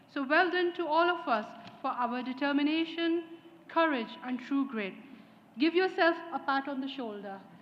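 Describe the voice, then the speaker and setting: A woman's high-pitched voice at a moderate pace, with lively intonation. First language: not English. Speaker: graduating student speaker. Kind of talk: graduation speech. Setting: ceremony hall with audience. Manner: formal.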